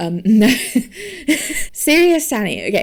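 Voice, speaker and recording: Using a put-on character voice, a woman speaks fairly slowly in a wheezy, fairly high voice with very wide pitch swings. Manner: wheezing laughter.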